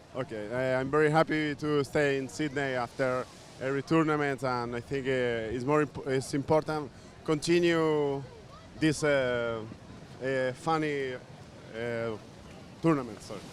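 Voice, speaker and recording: Speaking with a Spanish accent, a man keeps a medium pitch and fairly even intonation at a fairly slow pace. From Spain. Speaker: water polo player. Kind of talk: post-match interview. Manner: halting.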